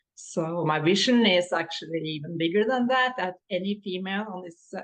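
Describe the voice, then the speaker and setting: A woman speaks with a Norwegian accent at a fairly low pitch. Her pace is moderate, with ordinary pitch variation. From Norway. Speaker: business coach. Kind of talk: podcast interview.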